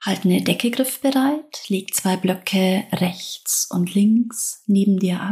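Very slowly and with hardly any pauses, a woman speaks at medium pitch in a calm, dark, mellow, somewhat breathy tone, with ordinary pitch variation and very even loudness. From southern Germany. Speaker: yoga teacher. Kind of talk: guided yoga practice. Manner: slow, calm.

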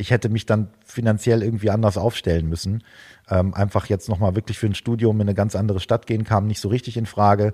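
A man's fairly low voice, dark and mellow in tone, flat and monotone, at a very fast pace, with a dry, close sound and no echo. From northwestern Germany, Osnabrück. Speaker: drummer and drum teacher. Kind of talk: interview. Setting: video call.

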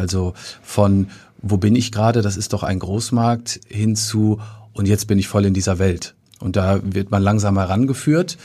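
A man's dark, mellow, somewhat breathy voice, fairly low in pitch, with fairly even intonation. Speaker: theatre manager. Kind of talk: casual interview. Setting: studio. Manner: hesitant with filler sounds.

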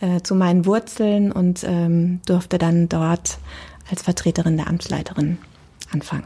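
Fairly slow and fairly even in intonation, a woman at medium pitch speaks in a somewhat breathy voice. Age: 40s. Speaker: deputy tax office head, lawyer. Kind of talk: interview.

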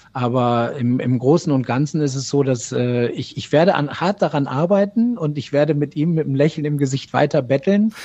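A man with a dark, mellow tone and a fairly high pitch talks at a moderate pace with ordinary pitch variation and hardly any pauses. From Argentina, of East Frisian family. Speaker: TV reporter. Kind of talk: casual interview.

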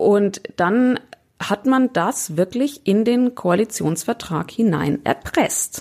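At a very slow pace, a woman speaks in a medium pitch with very even loudness. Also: lively intonation. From Upper Bavaria (near Altötting). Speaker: radio correspondent. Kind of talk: casual chat.

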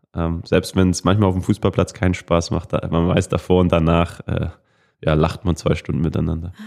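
On a very clean recording with a silent background, a man with a very deep, low voice speaks at a moderate pace in a flat monotone. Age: 20s. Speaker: professional footballer. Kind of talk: interview.

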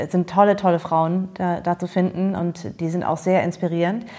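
The voice sits at a medium pitch. It is a woman talking. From Germany. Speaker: podcast host. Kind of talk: casual interview chat.

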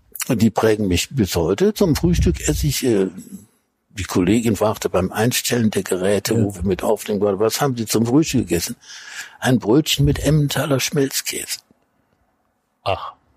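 A man's fairly low, somewhat breathy voice at a moderate pace, with lively intonation and long, frequent pauses. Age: 70s. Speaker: food critic and cookbook author. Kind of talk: interview. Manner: halting.

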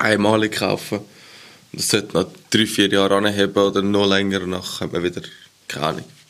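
A man talks with a fairly low voice. Noticeable noise can be heard in the background. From Switzerland. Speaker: podcast co-host. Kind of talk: casual chat.

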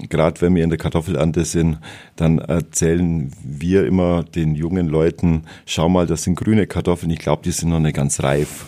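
Very deep and low, a man's voice has a dark, mellow tone and monotone, flat intonation. He keeps a moderate pace with very even loudness. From Bavaria, Ries area (Swabian-Bavarian). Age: 50s. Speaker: farmer. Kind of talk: interview. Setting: studio.

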